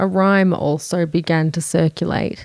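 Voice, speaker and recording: A woman's fairly low voice with an Australian accent and fairly even intonation. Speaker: true crime narrator.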